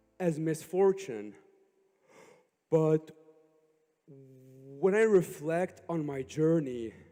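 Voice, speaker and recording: Over music in the background, the voice moves at a very slow pace with lively intonation. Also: man, long, frequent pauses. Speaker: motivational speaker and comedian. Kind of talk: motivational speech. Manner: halting, repeated syllables.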